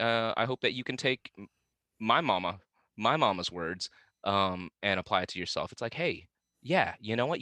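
A man with a Midwestern accent and a bright, sharp tone at medium pitch talks at a moderate pace with long, frequent pauses, recorded dry and close with no echo against a quiet background. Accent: General American (Midwest). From Vietnam-born, raised in western Kansas. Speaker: actor, musician and wellness speaker. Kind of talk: casual interview chat.

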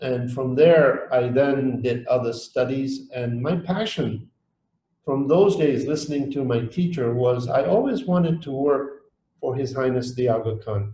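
Somewhat breathy and dark, mellow in tone, a man speaks at a fairly slow pace and medium pitch with ordinary pitch variation. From Tanzania. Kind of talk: interview. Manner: halting.

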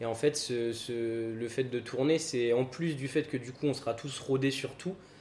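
A man's medium-pitched, an ordinary speaking voice with fairly even intonation. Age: 20s. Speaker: restaurant co-owner. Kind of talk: interview.

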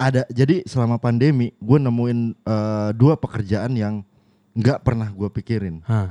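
In a dry, close sound with no echo, a man with a dark, mellow tone speaks at a medium pitch and fairly slow pace with ordinary pitch variation. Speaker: podcast co-host. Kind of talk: casual chat. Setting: remote call. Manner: animated.

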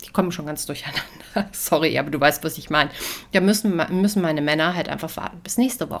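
This is an ordinary speaking voice with ordinary pitch variation. The recording is very clean, with a silent background. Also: woman. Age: 30s. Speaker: podcast host, household organization coach. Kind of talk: solo podcast monologue, tips. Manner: casual, chatty.

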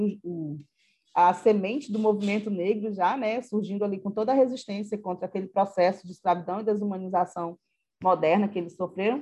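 A woman speaks at a fairly quick pace in a medium pitch, her tone dark and mellow with ordinary pitch variation. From Acre, Brazil. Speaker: history professor. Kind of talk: interview. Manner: halting.

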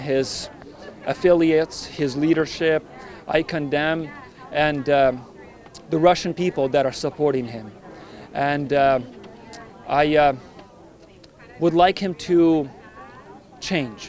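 Over noticeable background noise, a man with fairly high pitch talks at a very slow pace, using fairly even intonation and long, frequent pauses. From Ukraine. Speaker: nurse. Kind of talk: public speech.

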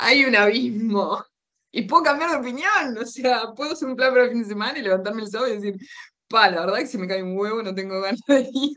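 This woman talks at a very fast pace in a bright, sharp tone. Her pitch varies in an ordinary way. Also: fairly high pitch for a woman. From Uruguay. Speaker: holistic therapist. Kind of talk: casual interview chat.

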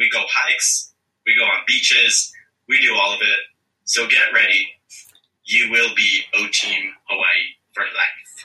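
A raised, projected voice speaks at a fairly slow pace with fairly even intonation. Long, frequent pauses break up the speech. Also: man, extremely high pitch for a man. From Philippines, moved to US at six. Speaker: real estate agent and business owner. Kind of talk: interview.

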